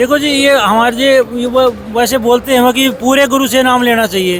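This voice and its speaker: There is crowd noise in the background. Over it, a man speaks at an extremely high pitch. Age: 60s. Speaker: religious devotee. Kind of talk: interview.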